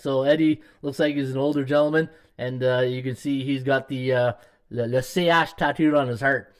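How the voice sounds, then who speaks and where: Speaking fairly quickly in a Canadian accent, a man has an ordinary speaking voice with fairly high pitch. The recording is very clean, the background silent. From Canada, Ottawa. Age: 50s. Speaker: sports betting handicapper and podcast host. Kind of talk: live stream sports betting podcast. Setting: live stream. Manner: casual, filler-heavy.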